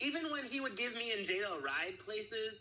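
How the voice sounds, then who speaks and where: A man speaks in a raised, projected voice. Noticeable background noise runs beneath him. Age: 20s. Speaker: small studio founder. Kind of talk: casual interview. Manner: halting.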